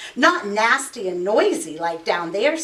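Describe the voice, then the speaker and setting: The speaker uses a put-on character voice with very wide pitch swings. The pace is moderate. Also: woman, fairly high pitch for a woman. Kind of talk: bedtime story. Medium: read story.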